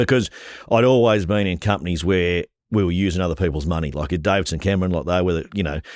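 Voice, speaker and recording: On a very clean recording with a silent background, a man with an Australian accent and a very deep, low pitch speaks very fast with ordinary pitch variation. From Australia, northern New South Wales. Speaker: rural real estate and livestock agent, auctioneer. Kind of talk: interview answer. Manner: casual, conversational.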